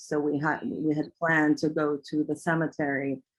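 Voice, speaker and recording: The speaker talks at a fairly slow pace. There is music in the background. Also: woman. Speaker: documentary filmmaker. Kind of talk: interview answer.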